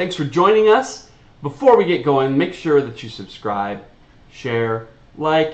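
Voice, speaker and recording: Over noticeable background noise and audible room echo, a man talks loudly at a moderate pace, his fairly high pitch making very wide swings. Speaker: reaction video host. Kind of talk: casual chat. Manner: animated.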